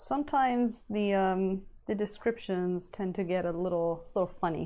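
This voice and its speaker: Speaking at a very slow pace, a woman has a medium pitch and a dark, mellow tone. The recording is very clean, with a silent background. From Italy. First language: Italian. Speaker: miniature painter streamer. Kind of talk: casual live-stream chat. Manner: hesitant, searching for words.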